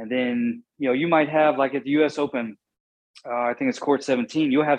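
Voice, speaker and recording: A man's fairly high-pitched delivery, an ordinary speaking voice with ordinary pitch variation and a moderate pace. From Southwest Virginia / East Tennessee (Appalachia). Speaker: sports physiotherapist / athletic trainer. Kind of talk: interview.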